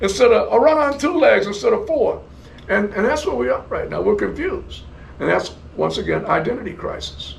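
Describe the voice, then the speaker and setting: An American man at a fairly quick pace, with audible room echo and noticeable background noise. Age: 70s. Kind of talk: interview. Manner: repetitive, halting restarts.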